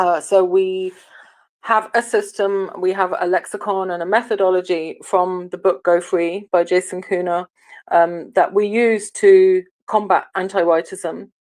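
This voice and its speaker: Here a woman talks with an English accent at a fairly slow pace. Her medium-pitched delivery is monotone and flat. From England. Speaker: online audio room host. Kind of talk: political discussion. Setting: online audio room. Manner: hesitant, many fillers.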